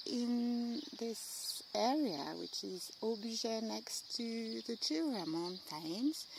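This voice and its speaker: With a French accent and a fairly high pitch, a woman speaks very slowly in very wide pitch swings over noticeable background noise. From France. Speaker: amateur painter. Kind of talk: studio tour video. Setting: home studio and garden. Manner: hesitant, many fillers.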